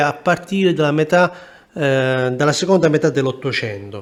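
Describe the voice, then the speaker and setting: A man with a fairly high pitch speaks at a moderate pace. His intonation is lively. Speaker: travel vlogger. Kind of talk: walking tour vlog narration. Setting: outdoors, walking through old town. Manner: quiet, soft-spoken.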